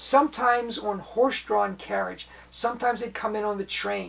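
Her tone is enthusiastic, and her pitch is fairly high. The woman speaks at a fairly slow pace. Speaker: magic and sideshow history presenter. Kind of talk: educational talk with show and tell; carnival barker spiel, mimicking a sideshow talker's pitch. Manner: enthusiastic, conversational. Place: home room. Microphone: camera far.

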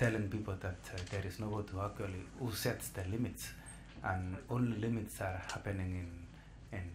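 There is noticeable background noise behind a man whose voice sits at a fairly low pitch. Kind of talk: interview answer. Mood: calm, thoughtful. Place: meeting room. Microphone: podium.

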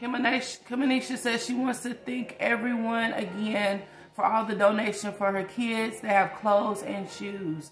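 Moderate pace with hardly any pauses and fairly even intonation, set against noticeable background noise and audible room echo. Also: woman, fairly high pitch for a woman. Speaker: prayer minister. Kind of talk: livestream prayer session. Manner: casual.

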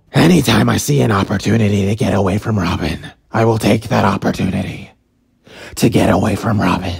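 Putting on a raspy character voice, a man speaks fairly quickly at a fairly low pitch. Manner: casual, bro-ish, exasperated.

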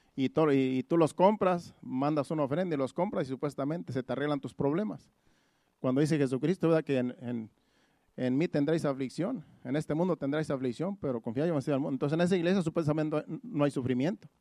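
With a dark, mellow tone and ordinary pitch variation, a man talks at a fairly quick pace in a dry, close sound with no echo. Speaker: pastor. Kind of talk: sermon. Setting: church.

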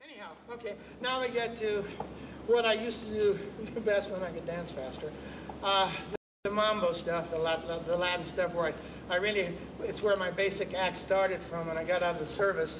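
Noticeable background noise runs under the speech. The pitch varies in an ordinary way. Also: man, high pitch for a man. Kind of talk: storytelling stage patter. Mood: animated, humorous. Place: stage.

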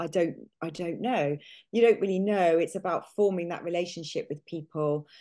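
Speaking with a British accent, a woman uses a fairly low pitch and a dark, mellow tone, with ordinary pitch variation over a quiet background. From UK. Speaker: nutritional therapist. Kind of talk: interview. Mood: thoughtful, friendly. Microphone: video call.

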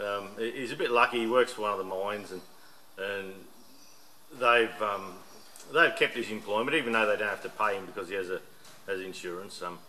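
A man with a normal speaking voice talks at a fairly quick pace and a fairly low pitch, with ordinary pitch variation over light background noise. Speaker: hobby mechanic vlogger. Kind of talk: casual vlog chat. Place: workshop. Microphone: camera far.

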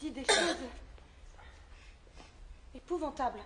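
A woman puts on a character voice with a high pitch. She speaks slowly with lively intonation. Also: fairly bright tone.

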